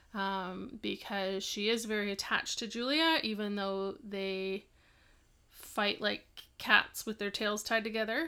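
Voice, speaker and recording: A woman with an unremarkable speaking voice at a medium pitch. She talks at a fairly slow pace with ordinary pitch variation. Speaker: podcast co-host and parent. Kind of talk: casual chat.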